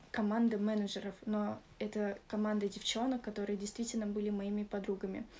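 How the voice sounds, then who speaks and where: Dark, mellow tone from a woman pitched fairly high. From Russia, Moscow region; Russia. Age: 20s. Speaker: club model and dancer. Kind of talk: testimonial. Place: home room. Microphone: phone near.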